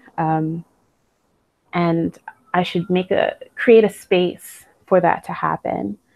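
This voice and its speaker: A woman speaks at a very slow pace with long, frequent pauses, in a dry, close sound with no echo. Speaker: retreat participant. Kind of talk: podcast interview.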